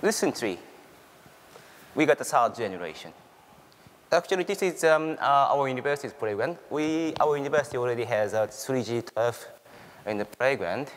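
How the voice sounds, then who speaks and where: A man with a Japanese accent speaks at a moderate pace, leaving long, frequent pauses. His voice is fairly high, with lively intonation. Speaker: university researcher. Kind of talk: conference presentation. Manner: halting.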